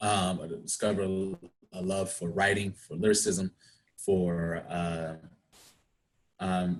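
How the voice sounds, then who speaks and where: Someone with a DC area accent speaks at a very slow pace with long, frequent pauses. The intonation is monotone and flat. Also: man, very deep, low pitch for a man. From Washington DC area (Prince George's County, Maryland). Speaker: actor. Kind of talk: interview.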